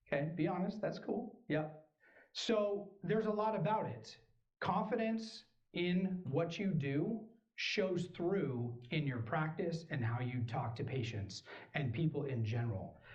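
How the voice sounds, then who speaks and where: In a room with audible echo, a man with a high pitch talks at a fairly slow pace in an animated tone with very wide pitch swings. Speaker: chiropractor. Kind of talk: speech. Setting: stage with audience.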